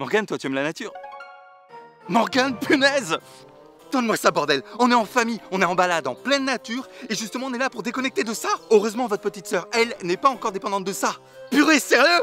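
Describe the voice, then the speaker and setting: A man speaks in a raised, projected voice, his loudness swinging widely. The sound is dry with no echo, and faint music plays behind him. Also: fairly quick pace. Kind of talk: comedy sketch acting. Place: forest.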